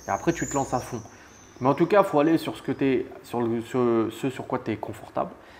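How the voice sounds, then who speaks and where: A man speaks in an unremarkable speaking voice at medium pitch. His pace is moderate, with ordinary pitch variation. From France, Annemasse near Geneva. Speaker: real estate investor. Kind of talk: interview. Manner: casual.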